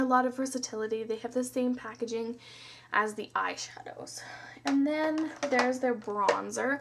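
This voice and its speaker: There is noticeable background noise behind a woman's high-pitched voice. She moves at a moderate pace with ordinary pitch variation. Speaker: beauty vlogger. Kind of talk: product review. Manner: casual.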